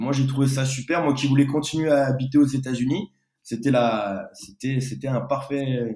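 Speaking at a fairly slow pace, a man uses a medium pitch, fairly even intonation and a dark, mellow tone. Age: 20s. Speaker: pastry chef. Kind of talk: interview.

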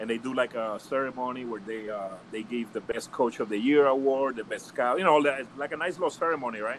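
A man speaks at a fairly quick pace with a medium pitch and ordinary pitch variation. Noticeable background noise runs behind him. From Puerto Rico, later Hawthorne, California. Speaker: former baseball scout. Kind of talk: casual chat. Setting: video call.

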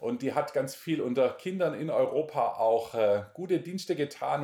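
A man is talking. He has a dark, mellow tone. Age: 40s. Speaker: missionary and Bible teacher. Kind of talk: interview, personal testimony and Bible teaching.

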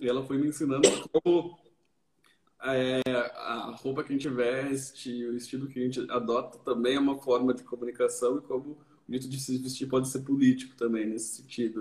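Monotone and flat, a man speaks at a medium pitch and a moderate pace. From Brazil, São Paulo area (Barueri). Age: 30s. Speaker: artist. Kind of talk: casual chat. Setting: online live stream.

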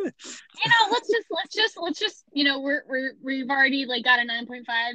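A woman with an American accent speaks in a high, raised, projected voice at a fairly quick pace with hardly any pauses. Her pitch swings very widely and her loudness rises and falls sharply. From US Midwest. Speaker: podcast co-host. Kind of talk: casual chat. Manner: animated.

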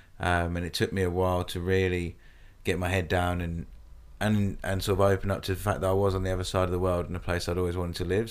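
A man speaks at a very fast pace in a very deep, low voice. His intonation stays monotone and flat. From UK. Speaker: podcast co-host, expat in Australia. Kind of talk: casual chat, podcast conversation.

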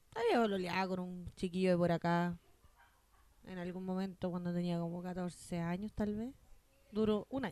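A woman with a Chilean accent speaks at a moderate pace and a medium pitch, her dark, mellow tone carrying fairly even intonation broken by long, frequent pauses. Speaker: podcast co-host. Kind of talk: casual chat.

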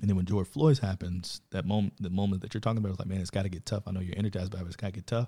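A very fast, somewhat breathy delivery with hardly any pauses, a dark, mellow tone, fairly even intonation and an American accent, in a dry, close sound with no echo. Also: man, very deep, low pitch for a man. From Chicago, south side. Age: 30s. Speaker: government and politics worker, former basketball coach. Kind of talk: casual chat.

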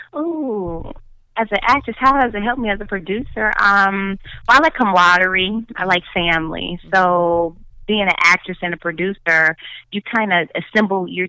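A woman with a Chicago accent speaks at a moderate pace and medium pitch, her tone bright and sharp, with ordinary pitch variation and a dry, close sound with no echo. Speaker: actress and producer. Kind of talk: casual interview chat. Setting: remote call.

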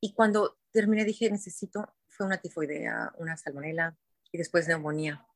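Her voice is an unremarkable speaking voice, fairly low for a woman, moving at a moderate pace with ordinary pitch variation. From Mexico, Guadalajara (Jalisco). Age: 50s. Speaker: wellness center founder. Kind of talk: interview.

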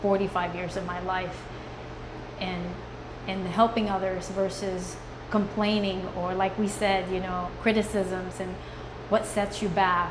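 Amid noticeable background noise, a woman of medium pitch speaks at a fairly slow pace. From Philippines. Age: 40s. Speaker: soap maker and artist. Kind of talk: casual chat.

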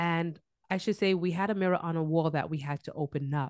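A woman's fairly low voice with an American accent, an ordinary speaking voice with ordinary pitch variation at a moderate pace, in a dry, close sound with no echo and a quiet background. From Brooklyn, New York. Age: 40s. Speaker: business coach. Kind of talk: interview.

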